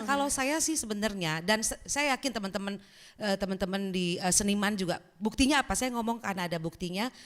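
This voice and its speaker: Lively intonation and a very fast pace, in a Lampung accent. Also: woman, medium pitch for a woman. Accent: Lampung regional Indonesian. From Lampung, Indonesia. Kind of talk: conversational, discussing music.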